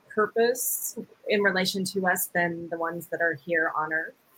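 A woman with a fairly low pitch and ordinary pitch variation speaks at a fairly slow pace. A normal speaking voice. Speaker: podcast host and spiritual teacher. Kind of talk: interview, casual spiritual chat.

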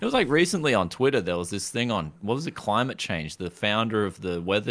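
A man with a fairly low voice speaks with lively intonation on a very clean recording with a silent background. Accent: Australian. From Queensland, Australia. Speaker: tech YouTuber. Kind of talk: casual chat.

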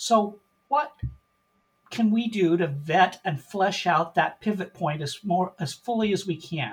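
With an American accent, a man speaks at a fairly slow pace in a high voice. His intonation is lively. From US Pacific Northwest, Portland, Oregon. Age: 60s. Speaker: volunteer genealogist. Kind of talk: podcast interview.

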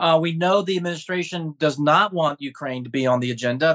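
A man talks at a fairly quick pace in a high, bright, sharp voice with ordinary pitch variation. The sound is dry and close, with no echo. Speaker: podcast co-host. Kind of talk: podcast interview.

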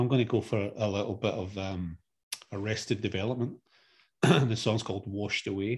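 On a very clean recording with a silent background, a somewhat breathy man with a fairly low pitch speaks at a fairly quick pace with fairly even intonation. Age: 40s. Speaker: podcast co-host, father. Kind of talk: casual chat.

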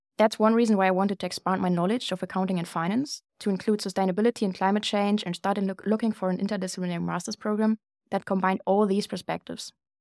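In a German accent, a woman speaks very fast with hardly any pauses, her medium-pitched voice flat and monotone, in a dry, close recording with no echo that is very clean, with a silent background. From Germany. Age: 20s. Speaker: student podcast co-host. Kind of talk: casual chat.

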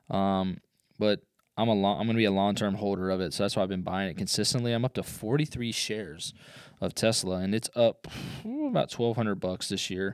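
A man speaks in a plain, everyday voice, fairly low in pitch with ordinary pitch variation. The recording is very clean, with a silent background. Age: 30s. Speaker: podcast host, entrepreneur. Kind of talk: casual solo podcast monologue. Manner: filler-heavy, conversational.

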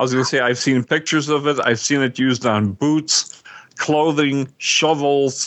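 A man's ordinary speaking voice, fairly high in pitch, at a moderate pace with very even loudness. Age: 60s. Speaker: podcast co-host. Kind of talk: casual chat.

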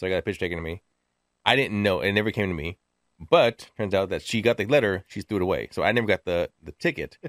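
Fairly low for a man, this voice races at a very fast pace with ordinary pitch variation in a dry, close sound with no echo. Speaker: podcast co-host. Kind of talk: casual chat. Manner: fast talker; mumbles when nervous.

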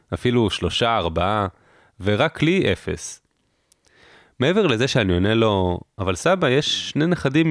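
Speaking at a fairly slow pace, a man with a medium pitch makes very wide pitch swings while keeping his loudness very even. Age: 20s. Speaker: podcast host, army reservist. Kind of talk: personal narration.

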